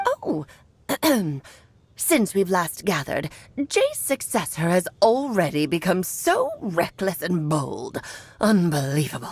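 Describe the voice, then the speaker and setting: A woman puts on a character voice at a medium pitch. She goes at a fairly slow pace with long, frequent pauses. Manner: imperious, lamenting.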